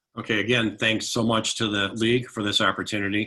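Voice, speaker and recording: This man has a normal speaking voice, talking at a fairly quick pace with fairly even intonation. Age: 60s. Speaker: city council candidate. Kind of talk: candidate forum statement. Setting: virtual forum.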